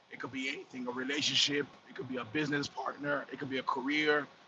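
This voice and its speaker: Against noticeable background noise, a man speaks in a fairly high pitch with monotone, flat intonation. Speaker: trucker. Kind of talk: casual livestream talk. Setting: in a truck while driving. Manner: speaking loudly to compensate. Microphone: phone recording.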